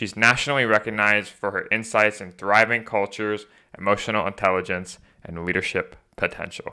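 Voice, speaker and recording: With a bright, sharp tone and a fairly low pitch, a man talks at a moderate pace on a very clean recording with a silent background. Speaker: podcast host. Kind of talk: scripted podcast intro; interview. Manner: halting, many filler words.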